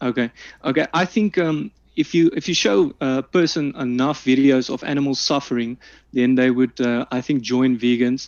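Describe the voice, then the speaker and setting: A man speaks at a medium pitch and a moderate pace, with ordinary pitch variation, in a dry, close recording with no echo and a quiet background. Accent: South African. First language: Afrikaans. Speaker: debater. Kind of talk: formal debate statement. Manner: halting, many fillers.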